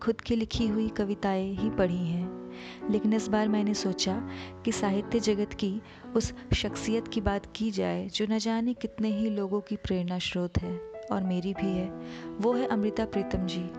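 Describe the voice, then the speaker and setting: With music in the background, a woman speaks at a very even loudness. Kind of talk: spoken introduction to a poem.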